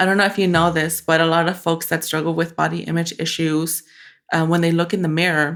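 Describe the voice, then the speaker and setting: Speaking at a fairly quick pace with a slight Spanish accent, the voice stays monotone and flat at a very even loudness on a very clean recording with a silent background. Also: woman, fairly low pitch for a woman. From Mexican-born, raised in the US. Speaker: photographer. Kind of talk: podcast interview.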